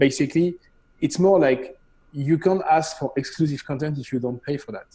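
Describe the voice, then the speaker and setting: A man's somewhat breathy, dark, mellow voice at a fairly high pitch, moderate in pace, with ordinary pitch variation and big swings in loudness. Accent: French. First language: French. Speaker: CEO of a streaming company. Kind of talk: casual Q&A on a live show. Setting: live stream show.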